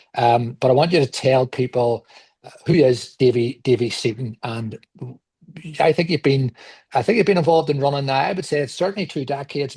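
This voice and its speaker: With a Belfast accent, the speaker has a dark, mellow, somewhat breathy tone, ordinary pitch variation, and a moderate pace, recorded with a dry, close sound and no echo. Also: man. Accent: Belfast Northern Irish. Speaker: podcast host. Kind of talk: interview.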